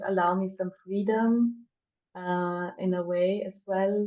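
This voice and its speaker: With a dark, mellow tone, a woman speaks at medium pitch in fairly even intonation. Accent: German. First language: German. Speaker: poet and performance artist. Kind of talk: interview. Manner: hesitant, many fillers.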